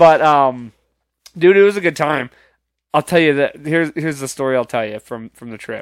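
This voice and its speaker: A man speaks in a normal speaking voice, fairly high-pitched, at a moderate pace with ordinary pitch variation and big swings in loudness, on a very clean, dry, close recording with no echo and a silent background. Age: 20s. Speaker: podcast host. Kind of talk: casual chat.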